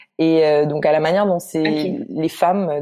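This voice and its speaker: Her pitch is very deep and low for a woman. The intonation stays fairly even. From Guadeloupe. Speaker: literature researcher. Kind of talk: casual interview.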